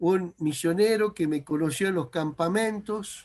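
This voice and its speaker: A man's high-pitched voice moves with ordinary pitch variation. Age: 60s. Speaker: preacher. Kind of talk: sermon.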